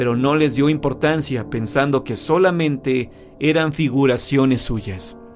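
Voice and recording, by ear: Someone reads aloud. The delivery is in a natural voice.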